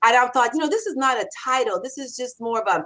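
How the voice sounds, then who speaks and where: An animated woman speaks at a fairly quick pace in a high pitch. The recording is very clean, with a silent background. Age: 60s. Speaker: copywriter and author. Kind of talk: interview.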